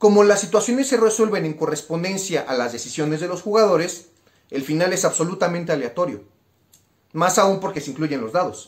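Against a quiet background, a man talks at a fairly quick pace in a high voice with lively intonation. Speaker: cultural program presenter; presenter. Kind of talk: explanatory capsule. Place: home room.

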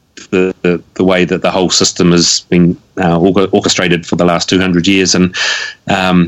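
A man's very deep, low voice in a flat monotone. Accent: New Zealand. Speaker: activist and former local government representative. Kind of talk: casual interview.

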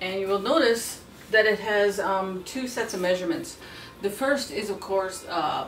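Over music in the background, a woman with a medium pitch speaks at a moderate pace with lively intonation. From Saskatchewan, Canada. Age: 40s. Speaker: beadwork and sewing instructor, activist. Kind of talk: tutorial. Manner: casual, halting with fillers.

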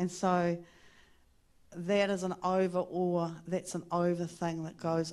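Against a quiet background, a woman speaks with a New Zealand accent. Her pitch is fairly low and her pace fairly slow. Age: 60s. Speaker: interviewee sharing faith story. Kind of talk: onstage interview in a church service. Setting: church stage with microphone. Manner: warm, laughs often. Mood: warm, animated storytelling. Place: church. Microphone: handheld.

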